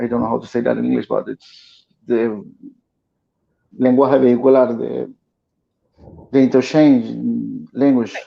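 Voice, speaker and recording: Speech in a Spanish accent moves at a fairly slow pace. Long pauses come often. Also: man. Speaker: guest activist. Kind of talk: casual chat. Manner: halting.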